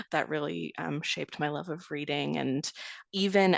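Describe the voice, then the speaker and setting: Speaking with a Canadian accent, a woman uses a very deep, low pitch with vocal fry, recorded in a dry, close sound with no echo. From Greater Toronto Area suburb, Canada. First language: Serbian. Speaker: essayist. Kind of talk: interview.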